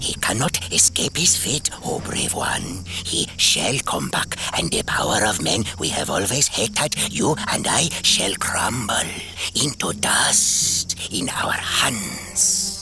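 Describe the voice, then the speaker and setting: Over loud background noise, a man uses a put-on character voice, fairly low in pitch and fairly slow in pace. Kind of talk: solemn, poetic storytelling speech. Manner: crafty, flattering, scheming.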